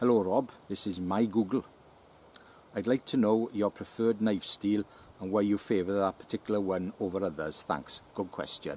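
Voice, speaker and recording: A man speaks at a moderate pace in a fairly low voice, his dark, mellow tone carried on fairly even intonation. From South Wales (Llanelli). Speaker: YouTuber answering viewer questions about knives. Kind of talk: casual Q&A reading viewer comments.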